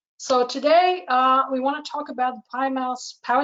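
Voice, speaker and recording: Speaking at a moderate pace, a woman with a German accent uses a high pitch. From Germany. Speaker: market analyst. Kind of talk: webinar presentation. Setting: online webinar.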